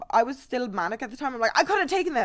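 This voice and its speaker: A woman with an Irish accent speaks at a high pitch in an animated tone. The recording is very clean with a silent background. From Ireland. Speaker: streamer. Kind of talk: casual storytelling on a live stream.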